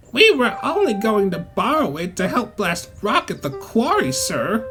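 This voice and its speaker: Over clear background music, a man puts on a high-pitched character voice at a moderate pace. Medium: audio drama. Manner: huffy, cautious.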